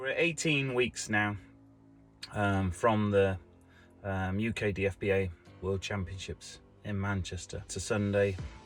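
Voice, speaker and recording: Man with a fairly low pitch and ordinary pitch variation, fairly slow pace with long, frequent pauses, music in the background. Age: 50s. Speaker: natural bodybuilder. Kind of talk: casual vlog talk to camera.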